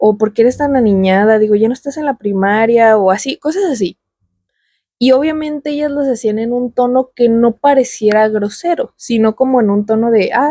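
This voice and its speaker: A woman speaks at a moderate pace with a fairly high pitch, ordinary pitch variation and a dark, mellow tone, and the sound is dry and close with no echo. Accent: Mexican. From Mexico. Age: 20s. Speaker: YouTuber. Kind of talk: personal vlog monologue. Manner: casual.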